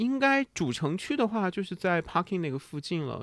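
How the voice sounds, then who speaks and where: In an ordinary speaking voice with lively intonation, a man talks at a fairly quick pace on a very clean recording with a silent background. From northern China, Shanxi. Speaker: coffee consultant and brewing competitor. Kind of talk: casual chat.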